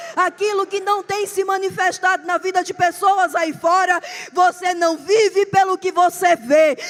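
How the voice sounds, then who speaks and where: A woman with a Pernambuco accent speaks at an extremely high pitch in an animated tone. The sound is dry and close with no echo, with noticeable background noise. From Brazil, Pernambuco. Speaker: preacher. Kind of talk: sermon.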